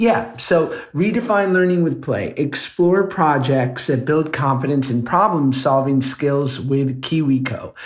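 Here a man speaks at a fairly high pitch with ordinary pitch variation. His voice is somewhat breathy and his pace fairly slow. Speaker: podcast co-host. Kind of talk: casual chat and ad reads.

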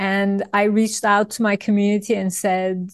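In a quiet setting, a woman talks at a fairly slow pace with a medium pitch and monotone, flat intonation. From Turkey. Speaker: industrial designer and author. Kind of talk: interview.

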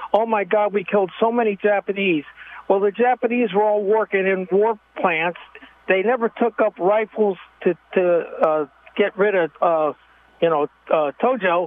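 Noticeable background noise sits under a voice at a moderate pace, with ordinary pitch variation and very even loudness. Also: man, high pitch for a man. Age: 60s. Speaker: retired military officer, radio caller. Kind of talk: call-in opinion rant. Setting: phone call. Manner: animated.

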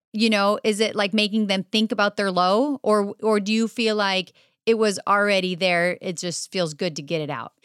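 A medium-pitched woman's voice at a moderate pace with ordinary pitch variation, dry and close with no echo, on a very clean recording with a silent background. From France, moved to the US at twelve. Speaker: guest interviewer, parent. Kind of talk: interview.

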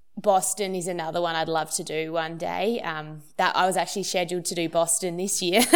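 A woman with an Australian accent talks at a fairly quick pace in a fairly low voice, barely pausing. Her intonation stays monotone and flat. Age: 30s. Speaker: Olympic marathon runner. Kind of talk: interview.

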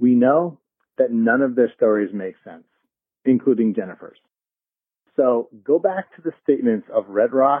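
A man with an American accent talks at a moderate pace and medium pitch. His loudness swings widely, and long, frequent pauses appear throughout. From US Northeast. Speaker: listener caller. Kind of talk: voicemail. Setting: phone call.

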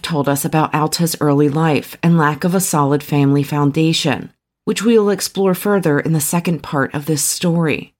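A woman's very deep, low voice with a serious tone, ordinary pitch variation and a moderate pace, on a very clean recording with a silent background. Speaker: podcast host. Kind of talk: true-crime narration. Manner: measured, serious, storytelling tone.

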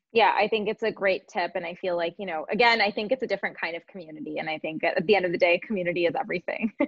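Over music in the background, a woman with a Canadian accent talks at a very fast pace with hardly any pauses, her medium pitch showing ordinary variation. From Canada. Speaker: podcast host and entrepreneur. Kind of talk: casual interview. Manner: animated, heavy use of like.

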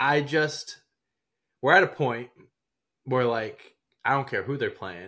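On a very clean recording with a silent background, a man speaks at a medium pitch with a bright, sharp tone and vocal fry. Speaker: basketball podcast co-host. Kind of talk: casual chat. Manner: animated.

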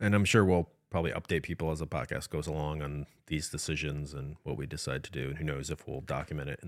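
A man speaks very fast with a very deep, low pitch and vocal fry. The recording is very clean, with a silent background. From US Midwest. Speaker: podcast co-host. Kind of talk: casual chat. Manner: frequent filler word like.

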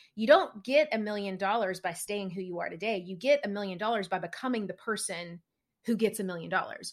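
In a very clean recording with a silent background, a woman with a Southern US accent talks at a fairly quick pace. Her pitch is medium with ordinary variation, and her loudness swings widely. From small-town rural Tennessee. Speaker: business coach and podcast host. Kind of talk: interview conversation.

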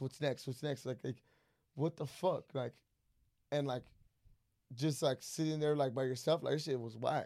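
At a moderate pace, a man with a fairly high pitch and a dark, mellow tone speaks in a dry, close sound with no echo. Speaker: podcast guest, entrepreneur and mentor. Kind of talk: casual chat. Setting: studio. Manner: loud; animated.

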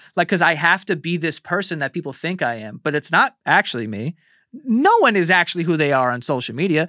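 In a high, bright, sharp voice with very wide pitch swings, a man talks at a fairly quick pace, the sound dry and close with no echo on a very clean recording with a silent background. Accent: New York. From New York City, Queens. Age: 30s. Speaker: podcaster and internet personality. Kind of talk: casual chat. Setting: studio.

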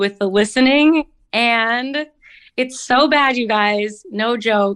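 At a slow pace, a woman speaks with a fairly high pitch, ordinary pitch variation and a clear, smooth, fairly bright tone.

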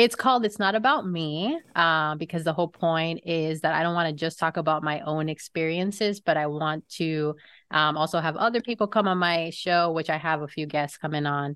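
A woman with a plain, everyday voice and an American accent talks at a moderate pace and a fairly low pitch, with ordinary pitch variation and hardly any pauses. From Florida. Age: 30s. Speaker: podcaster. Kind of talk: casual chat.

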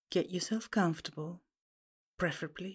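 A calm, soothing, somewhat breathy voice with fairly even intonation on a very clean recording with a silent background. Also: woman. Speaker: podcast host and pathworking guide. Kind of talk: guided meditation, reading a pathworking aloud. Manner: slow, calm, soothing, gently paced with pauses; soft-spoken, hypnotic and reassuring.

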